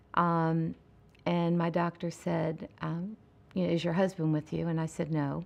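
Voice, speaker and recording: A normal speaking voice at a moderate pace, with fairly even intonation and a quiet background. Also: woman. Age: 60s. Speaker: breast cancer survivor. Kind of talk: testimony.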